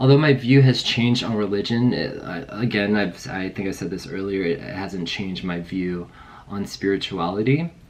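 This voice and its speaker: A man speaks with a fairly low pitch and ordinary pitch variation at a moderate pace. Noticeable background noise sits behind him. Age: 30s. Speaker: vlogger. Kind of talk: personal testimony vlog. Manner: casual, hesitant with fillers.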